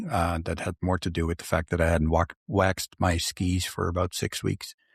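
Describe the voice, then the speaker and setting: A man with a slight Dutch accent speaks at a moderate pace, his very deep, low voice somewhat breathy and monotone, with flat intonation. The recording is very clean, dry and close, with no echo and a silent background. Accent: slight Dutch accent in Canadian English. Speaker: podcast host. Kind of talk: casual chat.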